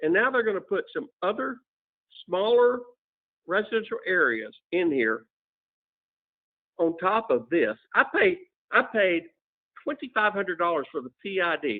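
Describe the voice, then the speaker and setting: Very wide pitch swings mark this man's high-pitched voice. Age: 70s. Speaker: resident speaking at public hearing. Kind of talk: public comment at council meeting. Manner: halting.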